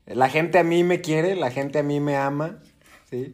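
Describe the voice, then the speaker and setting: Here is a man with an unremarkable speaking voice. His pitch sits fairly high. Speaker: podcast co-host. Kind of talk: casual chat.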